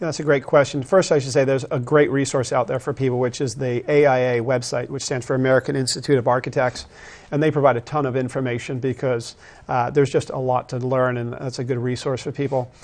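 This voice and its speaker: Speaking at a very fast pace, a man keeps a medium pitch and monotone, flat intonation. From England, moved to US in high school. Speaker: architect. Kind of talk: TV interview. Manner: hesitant, many fillers.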